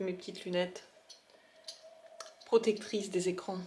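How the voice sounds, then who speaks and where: Soft-spoken, a woman talks at a moderate pace amid noticeable background noise. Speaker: vlogger. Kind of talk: casual vlog talk. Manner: halting.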